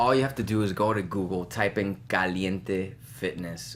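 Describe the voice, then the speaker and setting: At a moderate pace and with ordinary pitch variation, the voice carries audible room echo. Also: man. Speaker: fitness instructor and business founder. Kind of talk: casual chat. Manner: energetic.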